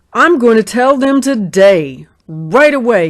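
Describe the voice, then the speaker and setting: Fairly high-pitched put-on character voice of a woman, at a fairly slow pace. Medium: read story. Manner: blustering, jealous.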